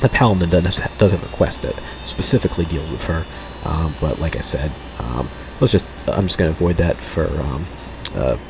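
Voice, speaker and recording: With noticeable background noise, a man with a very deep, low voice talks at a fairly quick pace with lively intonation and long, frequent pauses. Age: 30s. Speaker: let's play gamer. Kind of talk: gameplay commentary. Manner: halting, many fillers.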